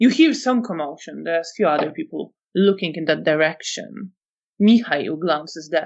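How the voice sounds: Over a quiet background comes a natural reading voice with lively intonation.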